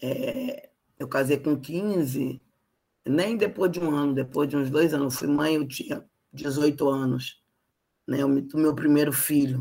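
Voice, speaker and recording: A woman with a Carioca accent speaks very slowly in a very deep, low voice. Her tone is dark and mellow, with ordinary pitch variation. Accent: carioca Brazilian Portuguese. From Rio de Janeiro, Brazil. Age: 50s. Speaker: human rights activist. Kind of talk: interview.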